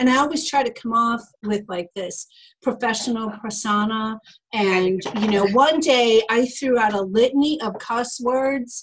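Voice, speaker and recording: Speaking fairly slowly with an American accent, a woman uses a fairly high pitch and ordinary pitch variation. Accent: Boston accent when angry. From Boston. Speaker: podcast host and publisher. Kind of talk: casual chat. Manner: halting.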